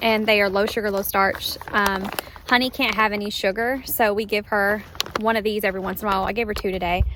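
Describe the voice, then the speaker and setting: A woman's fairly quick, monotone, flat delivery over noticeable background noise. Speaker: horse-owning vlogger. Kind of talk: casual vlog talk. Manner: loud.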